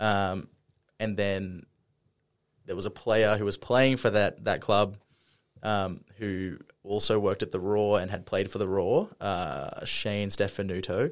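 Fairly slow, fairly even-toned speech with long, frequent pauses on a very clean recording with a silent background. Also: man, fairly low pitch for a man. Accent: Australian. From Australia, Brisbane. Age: 20s. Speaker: sports club multimedia producer. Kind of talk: casual interview.

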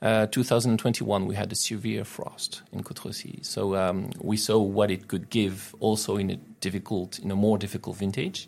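This man speaks with a French accent. His voice is fairly low, and his intonation fairly even. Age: 40s. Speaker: winemaker. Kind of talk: interview. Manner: halting, many fillers.

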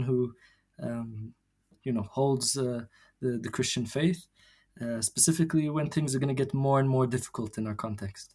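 A man's somewhat breathy voice with a dark, mellow tone, ordinary pitch variation and a moderate pace. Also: very clean recording, silent background. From Jerusalem. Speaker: theologian and journal co-editor. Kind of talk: interview. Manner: halting, many fillers and repetitions.

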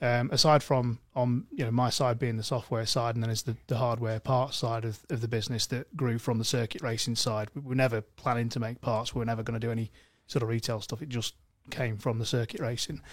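A man with an East Midlands accent at medium pitch, monotone and flat, at a fairly quick pace, in a very clean recording with a silent background. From Mansfield, English East Midlands. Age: 30s. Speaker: car tuning specialist. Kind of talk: casual chat. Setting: studio.

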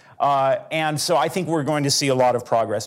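Speaking at a fairly quick pace, a man with an unremarkable speaking voice keeps a medium pitch and ordinary pitch variation in a very clean recording with a silent background. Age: 40s. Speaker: litigator. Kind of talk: panel discussion.

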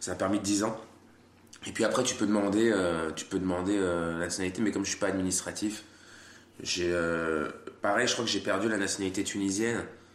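Flat, monotone intonation with long, frequent pauses and audible room echo. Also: man, fairly low pitch for a man, fairly quick pace. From France. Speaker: comedian. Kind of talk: casual chat.

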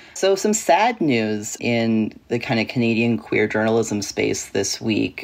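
A man speaks at a medium pitch and a moderate pace. He has a plain, everyday voice. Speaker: journalist or media commentator. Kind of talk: casual chat.

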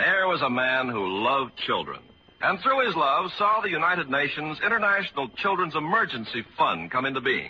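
Over noticeable background noise, a man speaks at a moderate pace in a high voice with very wide pitch swings. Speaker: radio announcer. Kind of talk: formal announcer narration. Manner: formal, polished.

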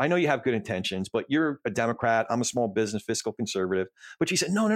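Very wide pitch swings mark a man talking at a very fast pace in an American accent, heard dry and close with no echo on a very clean recording with a silent background. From US Northeast, New Jersey. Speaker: podcast host. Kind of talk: casual chat.

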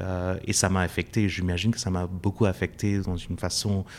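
A man's very deep, low pitch, monotone and flat, at a fairly slow pace. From India. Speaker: professor. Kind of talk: interview. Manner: halting.

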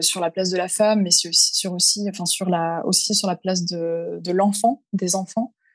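At a fairly slow pace, a woman uses an ordinary speaking voice with medium pitch and fairly even intonation. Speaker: freelance LinkedIn communications consultant. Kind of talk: interview.

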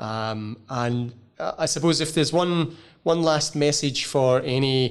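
A man speaks with a Glasgow accent at a fairly high pitch. His pitch variation is ordinary, and the background is quiet. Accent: Scottish (Glasgow). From Scotland (Glasgow). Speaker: podcast host and professor. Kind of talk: interview. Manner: halting, many fillers.

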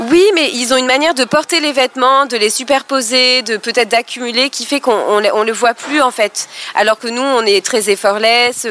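Against noticeable background noise, a woman speaks at a moderate pace with hardly any pauses, in a high pitch with ordinary pitch variation. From southeastern France (Côte d'Azur). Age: 30s. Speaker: former notary, expat mother. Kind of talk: casual chat. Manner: hesitant, with fillers.

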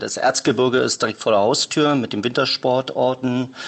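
This is an ordinary speaking voice, delivered at a moderate pace with fairly even intonation. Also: man. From northern East Germany (Rostock). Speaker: warehouse service worker. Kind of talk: interview.

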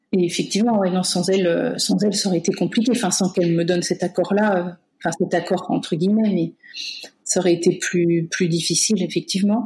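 With a dark, mellow tone and a medium pitch, a woman speaks somewhat breathily at a fairly quick pace, keeping very even loudness and fairly even intonation. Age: 30s. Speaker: medical-psychological care assistant. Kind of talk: personal testimony interview. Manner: hesitant, many fillers.

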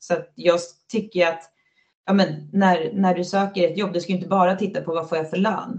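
Her voice fairly low in pitch, a woman speaks with monotone, flat intonation. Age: 30s. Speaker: floorball player. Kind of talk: casual interview chat.

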